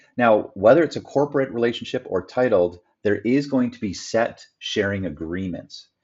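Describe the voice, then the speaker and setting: Here a man has an unremarkable speaking voice at medium pitch. His intonation is lively, and his loudness swings widely. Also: moderate pace. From Canada. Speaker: real estate developer and business partner. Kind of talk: explainer presentation.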